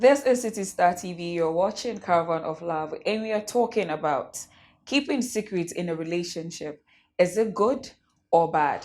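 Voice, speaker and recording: Using a put-on character voice, a woman speaks hoarsely at a medium pitch and moderate pace with lively intonation. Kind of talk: presenter intro.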